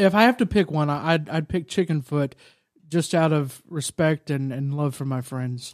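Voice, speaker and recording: Against a very clean recording with a silent background, a man speaks in a plain, everyday voice with fairly high pitch and ordinary pitch variation. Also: moderate pace. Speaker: church staff podcast co-host. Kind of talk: casual chat.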